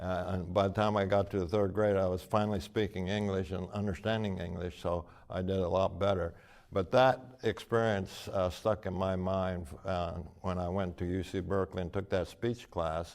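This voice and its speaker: A man with a very deep, low pitch speaks in fairly even intonation on a very clean recording with a silent background. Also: moderate pace. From US Pacific Northwest (Oregon). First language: Japanese. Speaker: retired university president, activist. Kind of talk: interview. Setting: conference venue.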